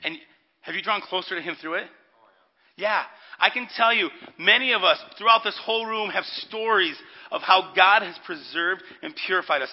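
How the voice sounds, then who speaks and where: The speaker is loud and goes at a fairly quick pace, yet leaves long, frequent pauses. Pitch varies in an ordinary way. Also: man, high pitch for a man. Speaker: pastor. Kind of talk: sermon. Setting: church with congregation.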